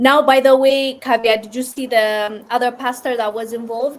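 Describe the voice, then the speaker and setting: On a very clean recording with a silent background, a woman with a non-native accent speaks at a fairly high pitch and fairly even intonation. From Ethiopia. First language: not English. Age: 20s. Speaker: live streamer. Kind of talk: casual live stream chat. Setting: live stream, raining outside. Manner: casual, hesitant with fillers.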